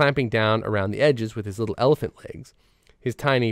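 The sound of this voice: The voice is an unforced reading voice, and its pitch varies in an ordinary way.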